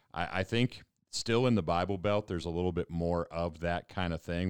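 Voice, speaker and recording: In an American accent, a man with a very deep, low voice speaks at a moderate pace, recorded very cleanly with a silent background and a dry, close sound with no echo. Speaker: pastor. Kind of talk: casual chat.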